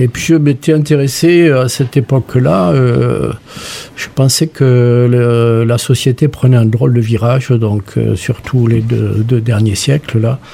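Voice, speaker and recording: Against noticeable background noise, a man talks at a very slow pace, his medium pitch showing ordinary variation. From southwestern France. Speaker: sculptor and retired art teacher. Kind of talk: radio interview.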